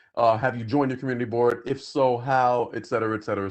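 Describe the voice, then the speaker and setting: At a very fast pace, a man delivers his lines at a medium pitch with monotone, flat intonation. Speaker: community board member. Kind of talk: public meeting.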